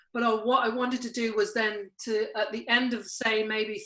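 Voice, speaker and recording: At a moderate pace, a woman talks in a fairly high pitch with a bright, sharp tone. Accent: British. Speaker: podcast host and life coach. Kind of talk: casual chat. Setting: video call. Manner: halting, many fillers.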